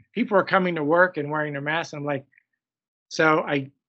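A man talks fairly quickly at a fairly high pitch with ordinary pitch variation. It is a normal speaking voice. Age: 60s. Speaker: physician, hospital medical officer. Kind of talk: interview.

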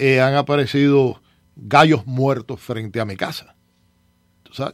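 A man talks at a moderate pace in a fairly high voice. His pitch rises and falls in an ordinary way. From eastern Cuba, Las Tunas. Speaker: city commissioner. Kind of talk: radio talk show interview.

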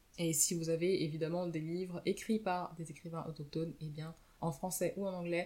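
A woman talks at a moderate pace in a fairly low voice. Her intonation stays fairly even. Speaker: book podcaster. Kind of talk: casual monologue book review. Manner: unscripted, hesitant.

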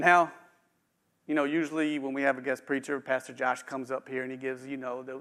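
Moving at a fairly quick pace, the speaker has a slight West Virginia accent. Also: man. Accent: slight West Virginia twang. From eastern Panhandle, West Virginia. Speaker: executive pastor preaching. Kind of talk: sermon. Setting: church with live stream.

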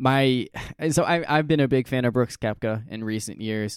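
In a very clean recording with a silent background, a man has a normal speaking voice at medium pitch with ordinary pitch variation. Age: 20s. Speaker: sports podcast host. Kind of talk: casual chat.

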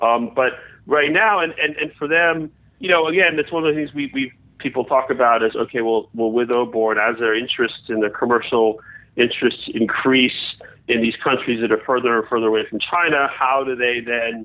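This man has an ordinary speaking voice at medium pitch, with ordinary pitch variation and a fairly quick pace. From United States. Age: 40s. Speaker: newsletter writer and China analyst. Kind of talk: interview. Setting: remote call.

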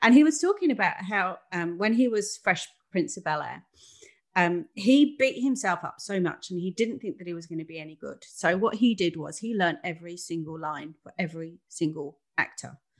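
Against a quiet background, a woman speaks at a moderate pace in an ordinary speaking voice, her medium pitch carried by lively intonation and big swings in loudness. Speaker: podcast co-host. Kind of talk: casual chat. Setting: video call.

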